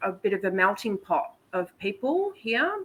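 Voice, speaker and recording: A woman speaks with an Australian accent at a medium pitch. Her pace is fairly slow. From Australia, Melbourne. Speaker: podcast guest. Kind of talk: casual chat.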